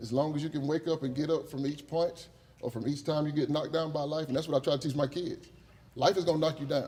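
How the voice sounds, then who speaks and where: A man talks at a very fast pace with a fairly high pitch. His voice is somewhat breathy, with a dark, mellow tone. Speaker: teacher. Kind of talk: acceptance speech. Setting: stage with audience. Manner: animated.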